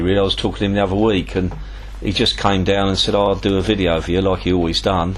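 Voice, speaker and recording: A man with a fairly low pitch talks at a very fast pace. Noticeable background noise and audible room echo surround him. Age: 60s. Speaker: tackle shop owner and angler. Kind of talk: interview. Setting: tackle shop.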